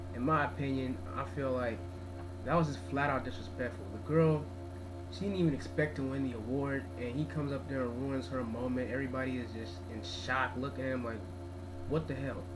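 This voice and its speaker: A man talks at a fairly quick pace. Noticeable background noise runs behind him. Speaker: video blogger. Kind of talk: angry video rant. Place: home room. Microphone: webcam.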